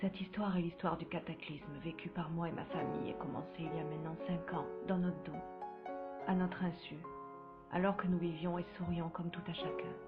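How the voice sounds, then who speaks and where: With music in the background, the speaker moves at a fairly quick pace in a solemn tone, leaving long, frequent pauses. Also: woman. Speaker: screenwriter and narrator. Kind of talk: dramatic first-person voice-over narration for a web series. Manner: grave, solemn.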